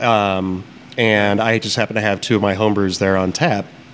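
Over noticeable background noise, a man with an American accent speaks at a moderate pace and a fairly low pitch. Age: 30s. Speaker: brewer and brewery co-owner. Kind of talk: casual chat. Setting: taproom of a brewery.

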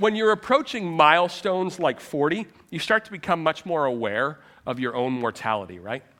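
A man at a fairly quick pace, his pitch swinging very widely, on a very clean recording with a silent background. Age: 30s. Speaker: pastor. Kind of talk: sermon.

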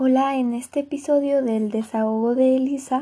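A woman speaks at a fairly slow pace in a high voice with a dark, mellow tone and fairly even intonation. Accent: Mexican. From Mexico. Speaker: podcaster. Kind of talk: motivational monologue. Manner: casual.

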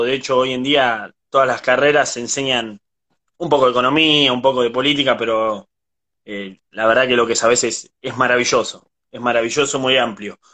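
A man's bright, sharp voice at medium pitch, with a Rioplatense accent, fairly even intonation and a moderate pace. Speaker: interviewer. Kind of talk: interview.

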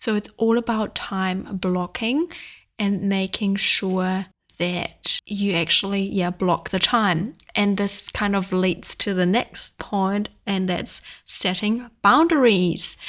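A woman's medium-pitched voice at a very slow pace, with ordinary pitch variation, on a very clean recording with a silent background. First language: not English. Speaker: podcast host and life coach. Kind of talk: casual chat monologue; sales pitch. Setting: sitting with coffee, solo recording.

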